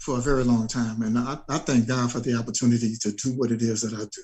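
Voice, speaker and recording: Somewhat breathy, a man with an American accent talks at a medium pitch and a fairly quick pace in a monotone, flat delivery. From Chicago, US Midwest. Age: 60s. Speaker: soul singer. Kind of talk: interview. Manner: halting, repeats words.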